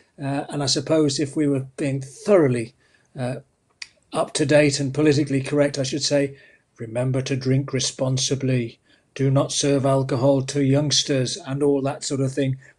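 A man speaks at a moderate pace in a monotone, flat intonation. His voice is somewhat breathy against a quiet background. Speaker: conference host. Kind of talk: event hosting speech. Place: home room. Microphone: webcam.

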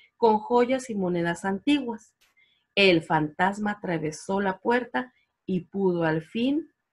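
Someone is reading aloud in a natural voice over a quiet background.

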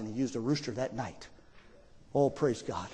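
The voice is animated and somewhat breathy. Its pitch varies in an ordinary way. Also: man. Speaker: preacher, theologian. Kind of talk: sermon preached to a congregation. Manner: emphatic, animated preaching. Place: church. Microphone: podium.

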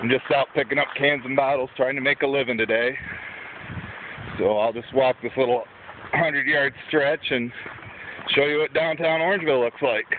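Over noticeable background noise, a man speaks at a moderate pace with fairly even intonation, the sound dry with no echo. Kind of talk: casual vlog chat. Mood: relaxed, joking. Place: street. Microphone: phone near.

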